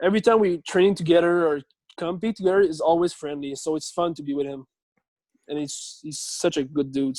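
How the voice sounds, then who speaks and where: A high-pitched man with a French Canadian accent, ordinary pitch variation and big swings in loudness. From Quebec. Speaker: CrossFit athlete. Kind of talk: interview. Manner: halting.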